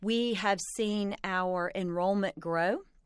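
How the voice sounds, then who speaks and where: In a very clean recording with a silent background, a woman with an American accent speaks in an unremarkable speaking voice with fairly even intonation. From South Carolina. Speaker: college president. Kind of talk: radio interview. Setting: studio.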